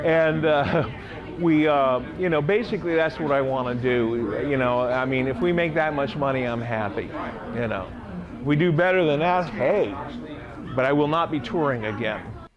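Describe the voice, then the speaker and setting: At a moderate pace with ordinary pitch variation, the speech carries noticeable background noise and an audible room echo. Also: man, fairly high pitch for a man. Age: 60s. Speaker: rock musician and songwriter. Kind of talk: interview. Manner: casual, hesitant with many fillers.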